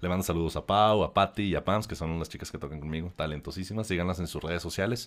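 On a very clean recording with a silent background, a man with a very deep, low pitch talks at a very fast pace with hardly any pauses and fairly even intonation. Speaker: musician. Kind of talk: casual chat. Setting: studio.

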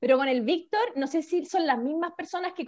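In a Chilean accent, a woman with an extremely high voice talks at a fairly quick pace with lively intonation. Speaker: teacher turned holistic therapist. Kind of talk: casual chat.

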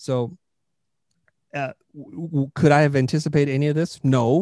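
With a quiet background, a man talks at a moderate pace and medium pitch in an ordinary speaking voice. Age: 40s. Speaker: designer and online business educator. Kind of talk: interview.

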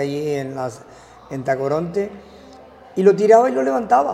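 A man at a fairly high pitch, moderate pace and ordinary pitch variation, against noticeable background noise. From Canary Islands, La Gomera (Agulo). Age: 70s. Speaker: former Olympic boxer. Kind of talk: interview. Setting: hotel.

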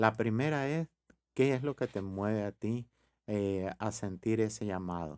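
A man with a plain, everyday voice talks at a fairly slow pace, his pitch fairly low with ordinary variation. The sound is dry and close with no echo, on a very clean recording with a silent background. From Mexico, Sonora (Ures/Hermosillo). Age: 50s. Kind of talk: interview.

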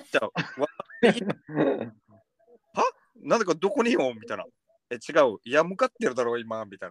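Moderate pace with big swings in loudness, long and frequent pauses, very wide pitch swings, and a dry, close sound with no echo. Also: man, fairly high pitch for a man. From Okinawa. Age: 30s. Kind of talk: casual chat.

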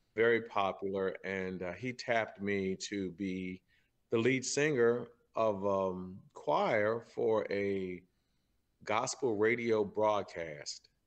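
In a St. Louis accent, a man speaks very slowly at a fairly low pitch with ordinary pitch variation. His long, frequent pauses sit over a quiet background. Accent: Midwestern American, St. Louis. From St. Louis, Missouri. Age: 50s. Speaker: singer. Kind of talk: casual chat.

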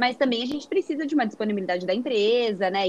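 A woman with an animated tone. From São Paulo state interior, Brazil. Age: 20s. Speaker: corporate sales trainee, former lawyer. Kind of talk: casual chat. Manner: talkative, animated.

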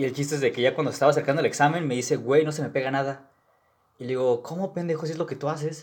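A man talks at a very fast pace. His pitch is fairly high, with fairly even intonation. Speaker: podcast host. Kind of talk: casual chat.

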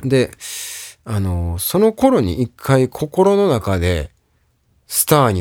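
Very wide pitch swings run through what a man says. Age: 30s. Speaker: podcast host. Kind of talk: solo casual talk. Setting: remote recording.

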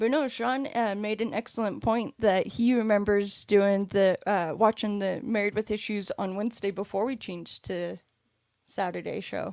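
A woman talks at a moderate pace with medium pitch and ordinary pitch variation. The recording is very clean, with a silent background and a dry, close sound with no echo. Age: 30s. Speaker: podcast co-host. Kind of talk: casual chat. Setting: live stream.

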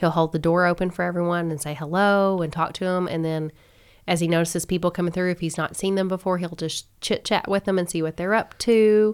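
Speaking with an American accent, a woman has an ordinary speaking voice, fairly low in pitch, with fairly even intonation and a fairly quick pace. The recording is very clean with a silent background. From Kentucky, US South (Owensboro). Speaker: small business owner. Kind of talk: casual interview.

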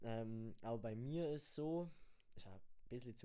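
There is audible room echo around this man, who talks in a dark, mellow tone at a moderate pace with ordinary pitch variation. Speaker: podcast host. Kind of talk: casual chat.

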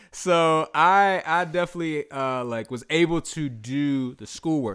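A man with an American accent speaks in a fairly high voice, hardly pausing at all. It is an unremarkable speaking voice, recorded very cleanly against a silent background. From South Carolina, North Augusta. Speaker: former basketball player and ministry worker. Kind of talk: casual interview.

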